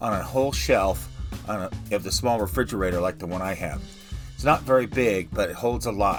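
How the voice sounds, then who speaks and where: Music plays in the background as a man speaks at a moderate pace. His pitch swings very widely. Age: 60s. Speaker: retiree living in an RV. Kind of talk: home tour talk to camera.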